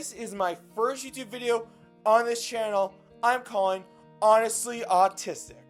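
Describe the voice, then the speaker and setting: Music in the background behind a high-pitched man with fairly even intonation and long, frequent pauses. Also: moderate pace, big swings in loudness. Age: young. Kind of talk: casual talk to camera.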